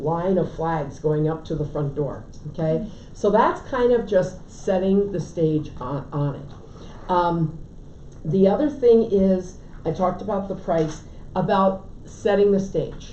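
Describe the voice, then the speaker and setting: The speaker talks at a fairly slow pace with an American accent, and room echo is audible. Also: woman. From Connecticut. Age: 70s. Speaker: real estate agent and trainer. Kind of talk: lecture. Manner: casual.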